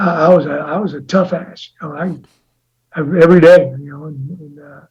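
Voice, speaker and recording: With an American accent, a man speaks at a moderate pace in a high voice, with audible room echo. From US Midwest. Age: 60s. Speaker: college football head coach. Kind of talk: interview. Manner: halting, many repetitions and fillers; rambling tangents.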